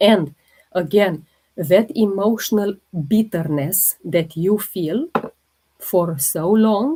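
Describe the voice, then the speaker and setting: With a Romanian accent, a woman talks at a medium pitch with lively intonation. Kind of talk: instructive, wellness teaching.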